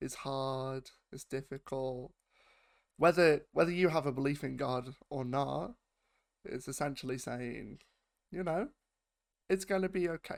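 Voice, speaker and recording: On a very clean recording with a silent background, a man with a British accent and a fairly high pitch talks at a fairly slow pace with ordinary pitch variation and long, frequent pauses. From United Kingdom. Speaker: YouTube reaction host. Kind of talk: casual talk to camera.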